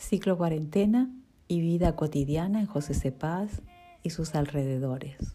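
A woman with a normal speaking voice talks at a fairly slow pace in a fairly low pitch. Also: lively intonation. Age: 40s. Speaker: office employee and mother. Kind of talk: reading aloud. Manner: formal.

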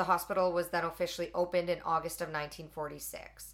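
On a very clean recording with a silent background, a woman with a Canadian accent speaks at a fairly low pitch. She has an unremarkable speaking voice and a fairly quick pace. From Alberta, Canada. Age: 20s. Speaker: podcast co-host. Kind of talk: reading aloud. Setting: hot room.

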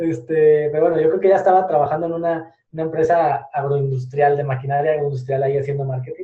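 A man's fairly high voice at a very fast pace, fairly even in intonation, with hardly any pauses. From Spain. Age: 20s. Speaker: digital marketing entrepreneur. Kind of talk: podcast interview.

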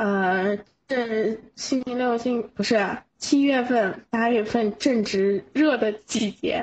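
Speech moves at a very slow pace. The pitch shifts in an ordinary way. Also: woman, fairly high pitch for a woman. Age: 20s. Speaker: listener caller. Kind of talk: casual chat.

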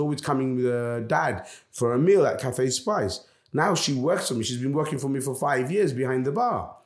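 A man talking at a fairly quick pace, with ordinary pitch variation and audible room echo. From London. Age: 40s. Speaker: restaurant owner. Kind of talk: interview.

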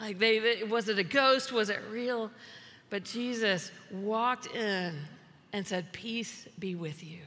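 With an American accent, a woman speaks at a very slow pace and fairly high pitch, with ordinary pitch variation. Her loudness swings widely, and room echo is audible. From US South. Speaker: pastor. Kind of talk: sermon.

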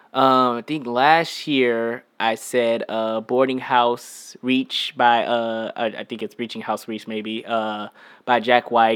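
On a very clean recording with a silent background, a man speaks very slowly with monotone, flat intonation. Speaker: musician. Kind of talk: casual chat.

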